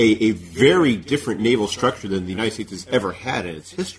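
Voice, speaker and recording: A man speaks at medium pitch with lively intonation. His voice is somewhat breathy. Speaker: podcast host. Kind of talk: interview.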